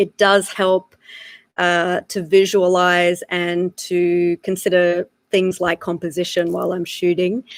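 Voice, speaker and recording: Speaking very slowly in an Australian accent, a woman with a fairly low voice keeps a monotone, flat intonation, the sound dry and close with no echo. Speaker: wildlife photographer. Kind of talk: live online talk.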